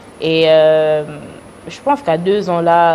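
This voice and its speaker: There is noticeable background noise behind a woman whose pitch sits fairly low. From United States. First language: English (speaking French). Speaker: businesswoman. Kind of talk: interview. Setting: studio. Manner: halting.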